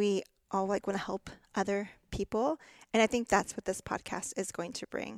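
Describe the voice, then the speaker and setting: A woman speaks with an American accent at medium pitch. The sound is dry and close, with no echo. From Texas. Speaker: podcast co-host, dental hygienist. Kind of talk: casual chat.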